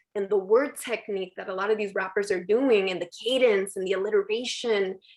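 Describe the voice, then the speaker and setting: A woman with a normal speaking voice talks at a medium pitch with fairly even intonation against a quiet background. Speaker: poet. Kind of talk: workshop talk.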